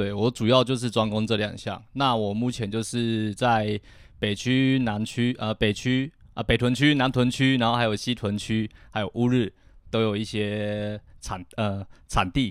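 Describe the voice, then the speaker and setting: A man with a medium-pitched voice speaks at a fairly slow pace in a monotone with flat intonation, on a very clean recording with a silent background. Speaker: freelance boxing and fitness coach. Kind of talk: casual chat. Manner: halting.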